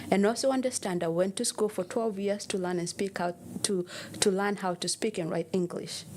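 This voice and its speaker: This woman has a medium pitch. Her pace is fairly quick. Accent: Kenyan. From Kenya. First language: Kenyan mother tongue. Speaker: personal trainer. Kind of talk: interview. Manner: animated.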